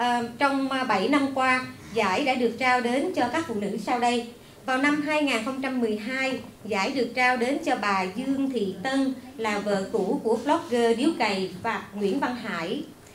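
A woman's high-pitched voice at a very slow pace, with ordinary pitch variation, audible room echo and light background noise. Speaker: event organizer, women's association chapter head. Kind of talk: formal event welcome speech. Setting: stage with audience at a library event. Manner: formal. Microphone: podium.

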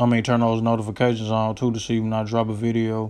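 Animated in tone, a man speaks at a fairly quick pace in a medium pitch. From Memphis, Tennessee. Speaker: gaming YouTuber. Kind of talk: angry gaming rant, raging monologue to the camera. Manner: fired-up, ranting, animated, loud, fast, profane; casual, slangy, repetitive filler like 'you know what I'm saying'.

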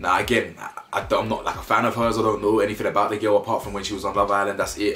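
Faint music plays in the background while a man talks at a very fast pace. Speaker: commentary vlogger. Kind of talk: casual commentary. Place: home room.

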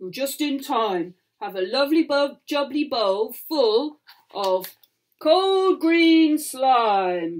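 A female-sounding voice growls in a high-pitched, put-on character voice at a very slow pace. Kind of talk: bedtime story. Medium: read story. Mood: friendly grin.

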